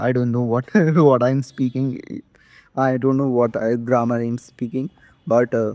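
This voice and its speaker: In an Indian accent, a man talks at a moderate pace with long, frequent pauses. His medium-pitched voice has a dark, mellow tone and a monotone, flat intonation over a quiet background. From India, Madhya Pradesh. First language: not English. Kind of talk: casual talk to camera. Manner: hesitant, halting.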